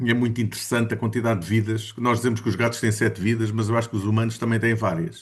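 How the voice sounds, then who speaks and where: Against a quiet background, a man rattles on at a very fast pace with hardly any pauses, his somewhat breathy, medium-pitched voice flat and monotone. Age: 60s. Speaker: study group participant. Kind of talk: casual group discussion. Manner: halting, many fillers.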